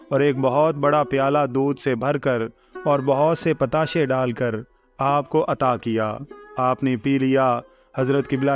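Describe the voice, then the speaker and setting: With music in the background, a man talks at a fairly high pitch with fairly even intonation. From Pakistan. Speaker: voice-over artist. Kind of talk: scripted narration. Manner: formal.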